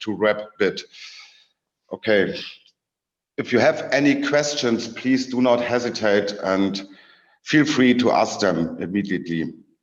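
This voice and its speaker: A man's medium-pitched voice with a German accent, at a fairly slow pace. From Germany. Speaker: researcher. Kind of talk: lecture. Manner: halting.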